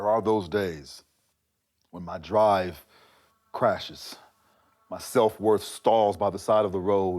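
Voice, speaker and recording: Speaking at a very slow pace with long, frequent pauses, a man keeps a fairly low pitch and fairly even intonation while his loudness swings widely. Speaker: spoken word poet. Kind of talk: spoken word poetry performance. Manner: rhythmic, emphatic.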